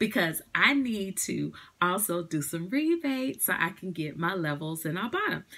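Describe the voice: A woman's bright, sharp tone with big pitch swings at a moderate pace. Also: fairly low pitch for a woman.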